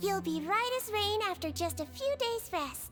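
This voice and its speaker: A woman does a squeaky put-on character voice at a moderate pace with music in the background. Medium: video game. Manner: soft, gentle, sweet.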